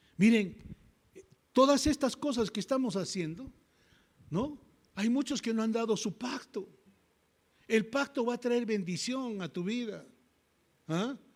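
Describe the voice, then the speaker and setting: Speaking at a fairly slow pace with long, frequent pauses and ordinary pitch variation, this voice comes through on a very clean recording with a silent background. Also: man, extremely high pitch for a man. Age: 70s. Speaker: pastor. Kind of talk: sermon. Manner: animated.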